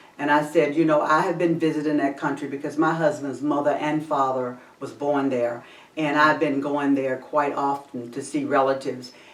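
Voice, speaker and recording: In a very deep, low pitch, a woman talks at a moderate pace with monotone, flat intonation, amid audible room echo and noticeable background noise. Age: 60s. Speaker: talk show host. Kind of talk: casual chat.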